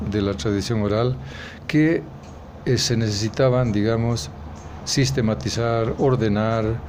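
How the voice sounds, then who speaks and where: Amid noticeable background noise and audible room echo, a man speaks at a very slow pace with a medium pitch and ordinary pitch variation. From rural Bolivia, Vallegrande area. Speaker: writer and anthologist. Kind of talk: interview. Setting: café. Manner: halting, many hesitations and repetitions.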